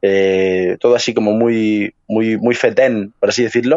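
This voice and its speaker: A man speaks with a Madrid accent. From Madrid, Spain. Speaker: podcast co-host. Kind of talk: casual chat.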